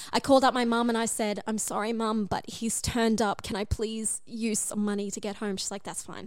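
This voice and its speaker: A woman with an Australian accent speaks at a fairly quick pace with hardly any pauses, her fairly high pitch held in a monotone, flat intonation. The recording is very clean with a silent background. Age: 20s. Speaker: podcast guest sharing dating story. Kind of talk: casual chat.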